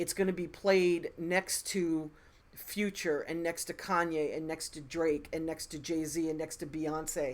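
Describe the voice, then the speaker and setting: With an American accent, a woman speaks fairly slowly at a fairly low pitch in a monotone, flat intonation. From Philadelphia, US. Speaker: music industry advisor, live stream host. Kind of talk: live Q&A stream. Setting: live stream. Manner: slow, deliberate.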